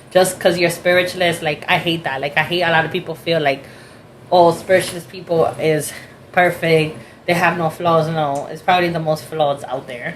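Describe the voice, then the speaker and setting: Over noticeable background noise, a woman with a fairly low pitch speaks at a moderate pace with fairly even intonation. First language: Spanish. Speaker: spiritualist reader. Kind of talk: casual chat.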